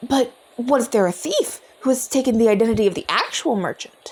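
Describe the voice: Putting on a character voice, a man speaks at an extremely high pitch with a slightly husky edge, lively intonation and a fairly quick pace.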